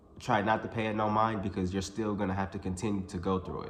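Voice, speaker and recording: A man talks at a fairly quick pace in a fairly low pitch, his intonation fairly even. Audible room echo and noticeable background noise surround him. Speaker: YouTuber. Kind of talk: casual vlog monologue. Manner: halting, self-described stuttering; casual, filler-heavy.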